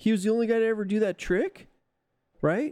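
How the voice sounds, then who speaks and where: The voice has a dark, mellow tone. It comes in a Californian accent. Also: man, dry, close sound with no echo. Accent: California. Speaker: podcast co-host. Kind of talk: casual chat.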